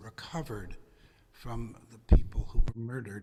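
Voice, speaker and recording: This man has a dark, mellow tone that is somewhat breathy. His pitch is medium, with ordinary pitch variation. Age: 80s+. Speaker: congregant sharing a memory. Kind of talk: testimony. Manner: halting.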